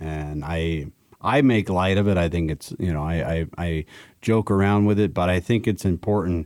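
Very deep, low male voice at a moderate pace, on a very clean recording with a silent background and a dry, close sound with no echo. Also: ordinary pitch variation. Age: 40s. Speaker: carpenter with dyslexia. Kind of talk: interview.

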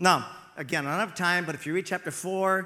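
Fairly even intonation, with a text read aloud in a natural voice.

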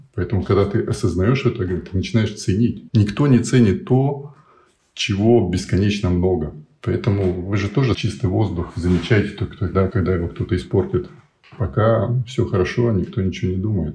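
A man speaks at a moderate pace in a fairly low pitch with ordinary pitch variation. His tone is dark and mellow, and somewhat breathy. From USSR, military garrisons. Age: 50s. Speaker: project founder, life coach. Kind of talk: interview conversation.

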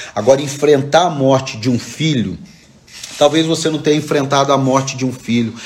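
Medium-pitched male speech with ordinary pitch variation, amid noticeable background noise and audible room echo. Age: 40s. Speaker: pastor. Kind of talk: sermon. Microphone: echo on the voice.

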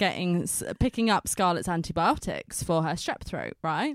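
In a dry, close sound with no echo and a very clean, silent background, a woman speaks at a moderate pace in an animated tone with lively intonation. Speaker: podcast host. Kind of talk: casual chat. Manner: animated, chatty.

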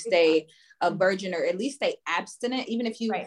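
A woman speaks at a moderate pace in a medium pitch, with ordinary pitch variation and an unremarkable speaking voice. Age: 20s. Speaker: dating content creator. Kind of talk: casual chat. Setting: video call.

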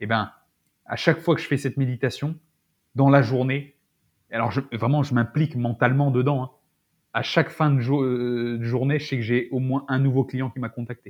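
A man at medium pitch and moderate pace, with fairly even intonation, long, frequent pauses and a quiet background. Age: 40s. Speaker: naturopath and Brazilian jiu-jitsu athlete. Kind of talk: casual interview chat. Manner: halting, many fillers and repetitions.

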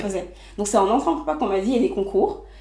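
A woman's voice is somewhat breathy, with very wide pitch swings. Audible room echo surrounds it. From Les Mureaux, Yvelines, France. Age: 20s. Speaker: entrepreneur. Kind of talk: interview.

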